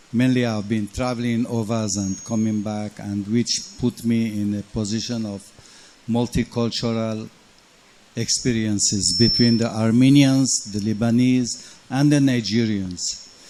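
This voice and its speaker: Over noticeable background noise, a man talks at a fairly slow pace and medium pitch with monotone, flat intonation. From Lagos, Nigeria (Armenian family). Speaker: hotel general manager. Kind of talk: panel discussion.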